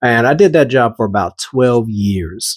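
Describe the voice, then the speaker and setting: A man's medium-pitched voice with a slight Southern US accent, at a moderate pace, in a very clean recording with a silent background. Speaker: artist and video creator. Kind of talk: casual talk about own artwork. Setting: at home, recorded at night. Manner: halting, repeats words; loud.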